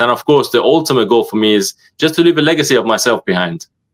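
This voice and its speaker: Speaking at a very fast pace, a man delivers his words with lively intonation. The recording is very clean, with a silent background. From UK, raised from early childhood (born in Iran). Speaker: social media creator, motivational speaker. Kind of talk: podcast interview. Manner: hesitant, many fillers.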